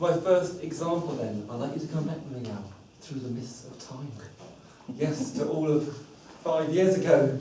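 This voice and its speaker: In a southern English accent, a man with fairly high pitch and ordinary pitch variation speaks at a moderate pace with long, frequent pauses and big swings in loudness, amid noticeable background noise and audible room echo. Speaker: public speaking club member. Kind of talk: prepared speech. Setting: stage with audience.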